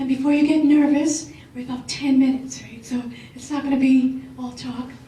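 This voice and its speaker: Audible room echo surrounds a woman who speaks at a moderate pace in a high pitch with a monotone, flat intonation. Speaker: business professor. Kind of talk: panel presentation.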